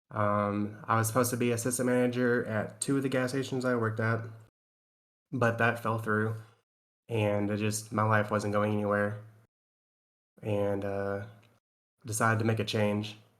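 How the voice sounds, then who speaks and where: Amid audible room echo, a man with an American accent speaks at a fairly low pitch and a moderate pace in a flat monotone, with long, frequent pauses. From Tennessee. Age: 30s. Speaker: navy sailor and streamer. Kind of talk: casual chat.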